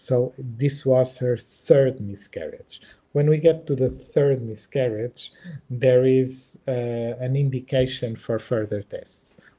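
Somewhat breathy, with a dark, mellow tone, a man with a Portuguese accent speaks at a very slow pace with fairly even intonation. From Portugal. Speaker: embryologist and IVF lab director; presenter. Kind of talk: webinar presentation and Q&A. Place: home room. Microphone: webcam.

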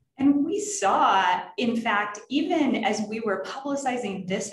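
With an American accent, the speaker shows ordinary pitch variation, with audible room echo and light background noise. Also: woman. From Texas and North Florida. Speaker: nonprofit director and panel moderator; panel moderator. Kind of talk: panel discussion moderation. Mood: calm, warm, earnest. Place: office. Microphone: webcam.

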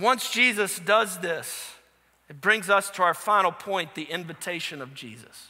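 A man's raised, projected voice, high in pitch, at a moderate pace with big swings in loudness against a quiet background. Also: ordinary pitch variation. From New Orleans, US. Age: 30s. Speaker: pastor. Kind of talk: sermon. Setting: church. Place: church. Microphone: headset.

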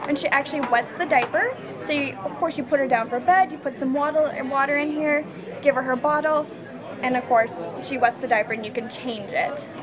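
Over crowd noise in the background, a woman speaks at a fairly quick pace with a high pitch and ordinary pitch variation. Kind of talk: product demonstration. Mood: upbeat, friendly. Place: hall.

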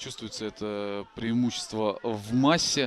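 A man at medium pitch talks at a moderate pace in a plain, everyday voice, his intonation fairly even. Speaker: rugby commentator. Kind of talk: live sports commentary over match highlights. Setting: voiceover on highlights video.

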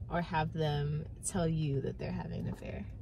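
At a moderate pace, a woman talks in a dry recording with no echo and light background noise. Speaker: student; vlogger. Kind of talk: casual chat. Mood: playful, laughing. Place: car. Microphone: phone near.

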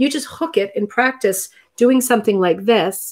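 A woman at a fairly high pitch and a moderate pace, with lively intonation over a quiet background. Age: 40s. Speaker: rug hooking teacher and live stream host; rug hooking teacher, live stream host. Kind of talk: casual live chat and craft tutorial. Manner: chatty, animated. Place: home room. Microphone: webcam.

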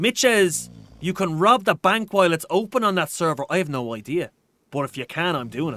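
In a Dublin accent, a man talks at a fairly quick pace in a high, bright and sharp voice with a playful tone and very wide pitch swings, captured as a dry, close sound with no echo on a very clean recording with a silent background. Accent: Dublin Irish. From Ireland. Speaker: gaming streamer. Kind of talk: live gameplay commentary. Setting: live stream at home, reading chat. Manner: animated.

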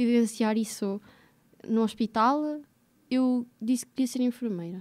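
Against a quiet background, a woman with a high pitch and a dark, mellow tone speaks at a fairly slow pace with very even loudness and fairly even intonation. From central Portugal, Águeda; Portugal. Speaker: podcast guest, recent graduate; podcast guest. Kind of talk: casual interview chat. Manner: halting, repetitive. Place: studio. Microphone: studio mic.

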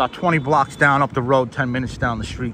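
Faint background noise behind a man's bright, sharp tone and fairly even intonation. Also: medium pitch for a man, fairly quick pace.

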